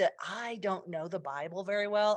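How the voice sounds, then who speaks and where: At a moderate pace, a woman speaks with an unremarkable speaking voice of medium pitch. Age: 60s. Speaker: comedian. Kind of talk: casual chat.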